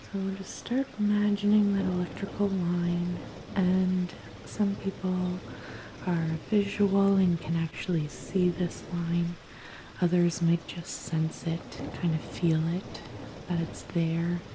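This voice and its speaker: A soft-spoken woman speaks in a calm tone at a fairly low pitch, very slowly. Her intonation is monotone and flat, and there is noticeable background noise. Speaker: cannabis and spirituality content creator. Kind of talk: guided grounding meditation. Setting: rain sounds layered in background. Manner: soft-spoken, calm, slow.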